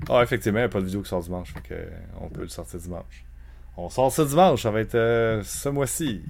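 This man talks at a very fast pace, with a medium pitch and lively intonation. His loudness swings widely from moment to moment. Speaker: video game podcast host. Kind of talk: casual chat.

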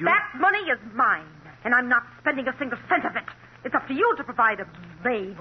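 A woman's whiny, put-on character voice, high-pitched with very wide pitch swings, at a fairly quick pace. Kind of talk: 1940s radio acting. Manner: nagging, whining, spiteful.

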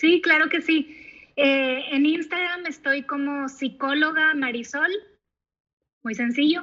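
A woman projects a high, bright, sharp voice very slowly, her intonation fairly even and her speech broken by long, frequent pauses. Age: 30s. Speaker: psychologist. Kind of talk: interview.

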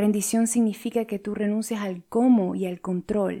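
Her tone calm, dark and mellow, a woman speaks at a fairly high pitch with fairly even intonation. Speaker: life coach and podcast host. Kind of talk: solo podcast talk on spirituality.

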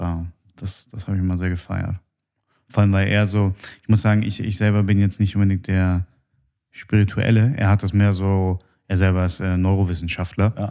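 A man talks at a moderate pace in a fairly low, dark and mellow voice, monotone and flat, with long, frequent pauses. The recording is very clean and the background silent. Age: 30s. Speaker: podcast host. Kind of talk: casual chat.

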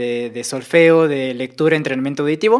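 At a moderate pace, the speaker talks with a Mexican accent on a very clean recording with a silent background. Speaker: audio engineer and sound editor. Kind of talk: casual interview.

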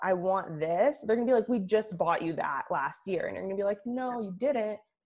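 A woman with an American accent uses a normal speaking voice at a medium pitch, with ordinary pitch variation. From Oakland, California. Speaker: sports journalist. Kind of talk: casual chat.

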